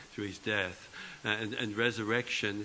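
A man speaks at a moderate pace in a bright, sharp tone. Light background noise is audible. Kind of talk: homily at Mass. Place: church. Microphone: podium.

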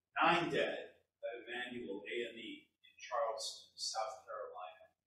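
A man speaks at a fairly slow pace. Audible room echo and light background noise surround his voice. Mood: solemn, mournful. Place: hall.

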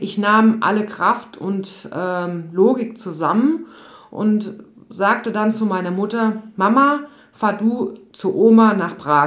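Audible room echo surrounds this woman's voice. Her pitch is medium, with ordinary variation. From Odenwald, Germany. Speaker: yoga and mental health coach. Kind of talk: personal storytelling monologue.

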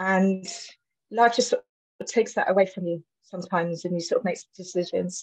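Somewhat breathy and medium in pitch, a woman talks at a fairly quick pace with fairly even intonation and long, frequent pauses, the sound dry and close with no echo. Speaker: webinar participant. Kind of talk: audience question. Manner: halting.

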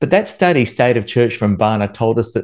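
Against a quiet background, a man with an American accent talks at a medium pitch with lively intonation. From Australia. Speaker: worship music instructor. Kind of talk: instructional video monologue. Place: home room. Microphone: studio mic.

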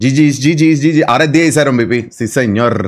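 The speaker has a Puerto Rican accent. The background is quiet. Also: man. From Puerto Rico. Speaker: video game streamer. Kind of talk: live gameplay commentary. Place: home room.

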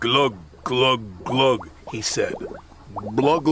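With ordinary pitch variation, the voice is reading aloud in a natural voice.

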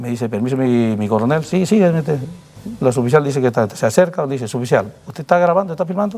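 Talking at a very fast pace with hardly any pauses, a man uses lively intonation. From Peru. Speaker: police colonel; interviewee. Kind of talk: interview. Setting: studio. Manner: halting. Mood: defensive, explaining his side. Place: studio. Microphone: lapel.

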